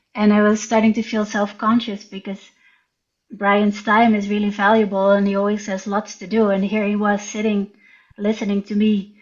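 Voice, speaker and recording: A woman with a Dutch accent, a fairly high pitch and a somewhat breathy voice, monotone, flat intonation, at a moderate pace. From Netherlands. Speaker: writer and visual artist. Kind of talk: interview storytelling. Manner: hesitant.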